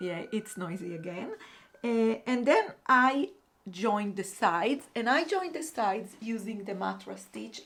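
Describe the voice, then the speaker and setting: Speaking with a non-native accent, a woman uses a fairly high pitch and lively intonation at a fairly slow pace. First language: not English. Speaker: crochet vlogger. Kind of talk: casual vlog talk. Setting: apartment above busy road. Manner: halting, many fillers.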